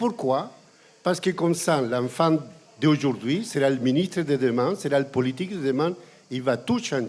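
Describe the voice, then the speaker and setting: A man talks at a fairly high pitch with lively intonation. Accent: Chilean. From Chile. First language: Spanish (speaking French). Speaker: environmental campaigner and lecturer. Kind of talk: panel talk.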